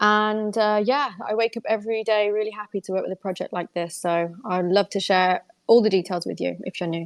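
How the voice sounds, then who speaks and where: A woman with a British accent speaks at a fairly quick pace with hardly any pauses. Her pitch is medium and her intonation fairly even. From UK. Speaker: crypto exchange manager. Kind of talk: live audio space AMA.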